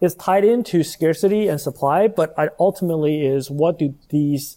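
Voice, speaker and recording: The tone is dark and mellow, the intonation lively, and the pace moderate. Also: man. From Taiwan. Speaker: startup founder. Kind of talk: interview. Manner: hesitant with frequent fillers.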